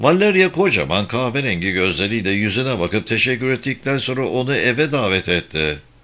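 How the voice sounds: Text read in a natural voice.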